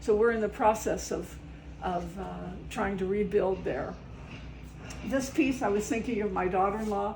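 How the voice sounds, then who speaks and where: With audible room echo, a woman in an American accent speaks with long, frequent pauses. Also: medium pitch for a woman, ordinary pitch variation, moderate pace. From US South, West Virginia coal country. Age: 80s+. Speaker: artist. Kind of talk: casual studio tour. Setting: home art studio. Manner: halting, many fillers.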